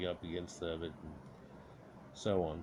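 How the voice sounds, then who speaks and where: A man keeps a moderate pace while his words ring with audible room echo. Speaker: history and mystery video creator. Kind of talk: narrated slideshow commentary.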